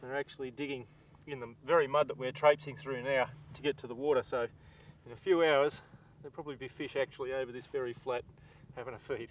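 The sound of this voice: A man talks at a fast pace with medium pitch and fairly even intonation.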